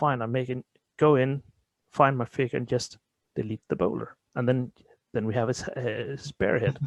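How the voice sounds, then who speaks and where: With a Danish accent, a man speaks at a moderate pace with fairly even intonation in a dry, close sound with no echo. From Denmark. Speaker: tabletop role-playing gamer. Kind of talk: interview. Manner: halting.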